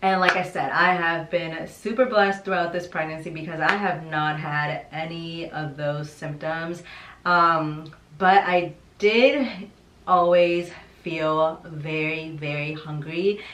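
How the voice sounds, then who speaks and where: Noticeable background noise sits behind this woman's voice. Her pitch is fairly low and her intonation fairly even. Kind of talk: casual talk to camera.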